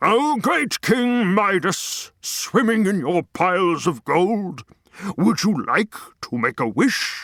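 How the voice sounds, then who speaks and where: Speaking very slowly, a man with a high pitch uses a put-on character voice. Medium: audio drama.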